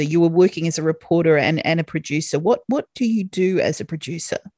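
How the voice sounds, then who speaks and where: A woman's dark, mellow tone on a very clean recording with a silent background. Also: dry, close sound with no echo. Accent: Australian. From Australia. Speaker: podcast host and yacht chef. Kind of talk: casual interview.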